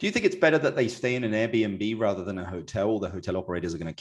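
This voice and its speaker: A man with a British accent, fairly low-pitched, talking very fast against a quiet background. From England. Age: 40s. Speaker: real estate podcast host; podcast host. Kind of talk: casual interview chat; scripted outro. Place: office.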